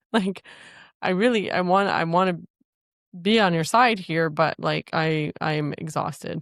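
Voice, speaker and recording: In a very clean recording with a silent background, a woman with a fairly low pitch and ordinary pitch variation speaks at a fairly slow pace with long, frequent pauses. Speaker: relationship podcast co-host. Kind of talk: casual chat. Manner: careful, measured.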